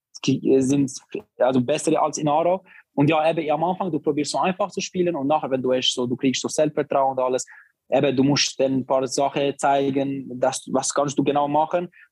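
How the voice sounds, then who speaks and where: A man's fairly high voice at a fairly quick pace, fairly even in intonation, dry and close with no echo. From Barcelona, Spain. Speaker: professional footballer. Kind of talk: casual interview. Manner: halting.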